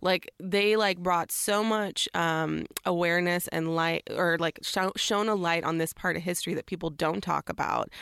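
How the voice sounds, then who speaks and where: A fairly low-pitched woman at a moderate pace, with very even loudness and hardly any pauses, in a dry, close sound with no echo on a very clean recording with a silent background. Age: 30s. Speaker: comedian. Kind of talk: casual chat. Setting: studio. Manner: animated.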